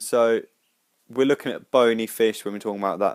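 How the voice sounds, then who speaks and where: The man speaks with fairly even intonation. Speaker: biology tutorial maker. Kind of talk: tutorial.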